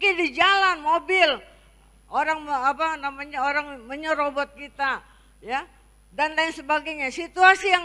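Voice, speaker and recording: A woman's bright, sharp, raised and projected voice at a fairly slow pace, with ordinary pitch variation. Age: 60s. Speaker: pastor. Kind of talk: sermon. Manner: halting.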